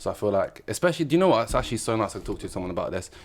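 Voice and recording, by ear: A man at a very fast pace, fairly low-pitched, with big pitch swings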